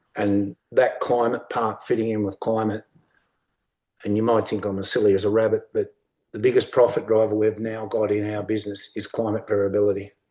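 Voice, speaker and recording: Speaking fairly quickly with a rural Australian accent, a man uses a fairly low, dark, mellow voice in a monotone, flat intonation. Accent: broad rural Australian. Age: 60s. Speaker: sheep and beef farmer, workshop speaker. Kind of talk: workshop talk. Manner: casual, plain-spoken.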